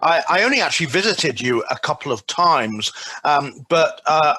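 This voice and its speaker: In a British accent, a man with a bright, sharp tone speaks at a moderate pace. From England. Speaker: doctoral graduate, business school lecturer and clergyman. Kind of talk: recorded video message. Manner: hesitant with fillers.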